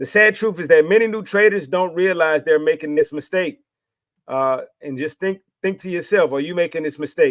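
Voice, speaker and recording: A man with an American accent speaks at a fairly quick pace. His voice is fairly high, on a very clean recording with a silent background. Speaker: trading educator YouTuber. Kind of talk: motivational rant to camera. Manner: animated.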